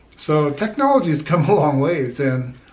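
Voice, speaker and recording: A man talks with an American accent at a fairly slow pace. Noticeable background noise runs behind him. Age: 60s. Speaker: army veteran. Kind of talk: casual talk to camera.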